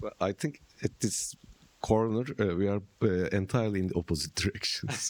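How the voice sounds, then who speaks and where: A man in a Turkish accent with a fairly low pitch, in a dry, close sound with no echo. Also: ordinary pitch variation, moderate pace. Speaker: philosopher and translator. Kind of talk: public conversation. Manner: halting.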